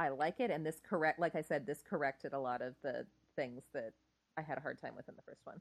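A woman's very deep, low voice at a very fast pace, with ordinary pitch variation, big swings in loudness and a dry, close sound with no echo

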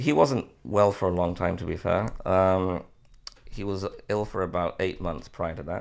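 In a very clean recording with a silent background, a man with a very deep, low pitch speaks in a Liverpool accent with ordinary pitch variation. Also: moderate pace. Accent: Liverpool (Scouse). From Liverpool, England. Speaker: marriage coach. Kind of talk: interview conversation. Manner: hesitant, many fillers.

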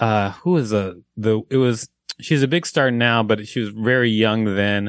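Speaking at a fairly slow pace with an American accent, a man uses a normal speaking voice at medium pitch, with ordinary pitch variation and very even loudness. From US South (Huntsville, Alabama), later Minneapolis. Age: 50s. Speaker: comedian and actor. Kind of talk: telling a joke; casual chat.

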